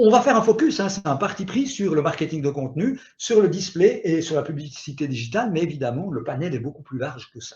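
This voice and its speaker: Pitched high, a man speaks at a fairly quick pace with hardly any pauses and very wide pitch swings. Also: big swings in loudness. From Switzerland. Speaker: digital marketing expert. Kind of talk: webinar presentation. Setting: online webinar. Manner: animated.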